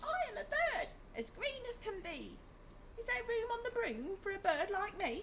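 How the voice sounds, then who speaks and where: A squeaky, put-on character voice at a moderate pace, with clear background noise. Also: woman, extremely high pitch for a woman. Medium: read story.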